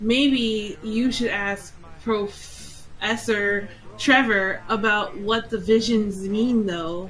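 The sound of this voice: What comes through is an unforced reading voice.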